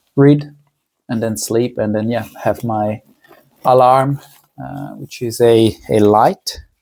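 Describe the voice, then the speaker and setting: A man speaks at a very slow pace with lively intonation and a dark, mellow tone. Long pauses come often. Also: medium pitch for a man. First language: Italian. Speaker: lifestyle vlogger. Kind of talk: casual vlog monologue. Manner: halting, many fillers.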